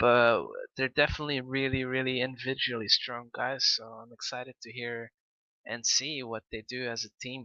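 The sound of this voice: Bright and sharp in tone, a man's medium-pitched voice comes at a moderate pace with a dry, close sound and no echo.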